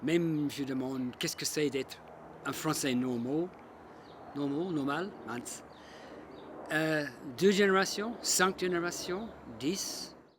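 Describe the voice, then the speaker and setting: Speaking very slowly with long, frequent pauses, a man with a fairly high voice and an Australian accent uses ordinary pitch variation. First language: English (speaking French). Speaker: local resident. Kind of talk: personal testimony.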